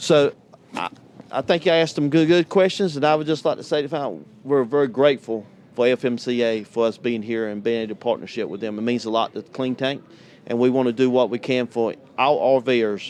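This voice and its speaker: Speaking at a fairly quick pace, a man with a North Carolina accent keeps a medium pitch with ordinary pitch variation. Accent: Southern US (North Carolina). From US South, North Carolina. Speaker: tank cleaning business owner. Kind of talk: interview at trade show. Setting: vendor hall at RV show.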